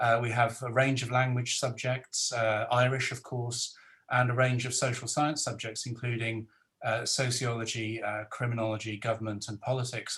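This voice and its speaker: A man with a Welsh accent speaks at a moderate pace and a medium pitch. His intonation is monotone and flat. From South Wales. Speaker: professor and panel moderator. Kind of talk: webinar panel moderation. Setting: video call webinar.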